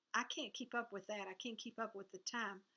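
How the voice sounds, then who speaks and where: Speaking in a Southern US accent, a woman with a fairly high pitch and a bright, sharp tone keeps a moderate pace and fairly even intonation. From US South. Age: 70s. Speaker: cross-stitch video blogger. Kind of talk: casual vlog chat.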